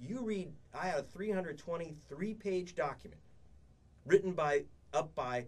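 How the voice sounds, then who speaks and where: A man's voice full of vocal fry, with very wide pitch swings. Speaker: radio guest. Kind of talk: interview answer. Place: studio. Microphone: studio mic.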